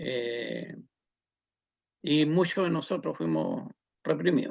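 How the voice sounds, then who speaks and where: A man with a Chilean accent, at a very slow pace. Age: 70s. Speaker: social activist and community leader. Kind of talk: interview testimony. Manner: hesitant, many fillers.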